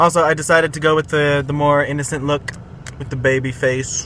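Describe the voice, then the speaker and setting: Noticeable background noise runs behind this speaker. He is a man with a fairly high pitch. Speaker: vlogger. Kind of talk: vlog. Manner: halting.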